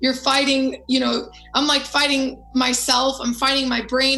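Against noticeable background noise, a woman with an American accent speaks in a high, monotone, flat voice. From United States, Moroccan family. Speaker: singer. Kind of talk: interview. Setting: video call.

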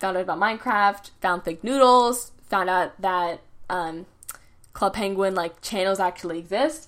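In a very clean recording with a silent background, a woman with a normal speaking voice speaks at a fairly slow pace, her medium pitch showing ordinary variation. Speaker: podcaster and YouTuber. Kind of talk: casual solo podcast monologue, storytelling. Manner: rambling, casual, chatty.

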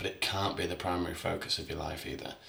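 A man talks amid noticeable background noise, with audible room echo in the space. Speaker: actor and musician. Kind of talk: casual chat.

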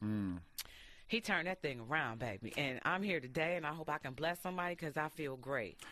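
Speaking in an American accent, a woman has a very deep, low pitch, a bright, sharp tone and very wide pitch swings. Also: fairly quick pace. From Detroit. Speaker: radio host. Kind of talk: casual chat. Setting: studio.

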